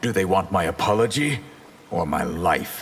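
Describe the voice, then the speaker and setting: A man's growling put-on character voice, fairly low in pitch, with lively intonation, a moderate pace and clear background noise. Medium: video game. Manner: wry, confident.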